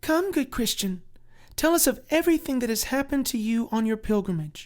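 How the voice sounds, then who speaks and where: Someone does a put-on character voice in a gentle tone, fairly high in pitch and at a fairly quick pace. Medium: read story. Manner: gentle, formal.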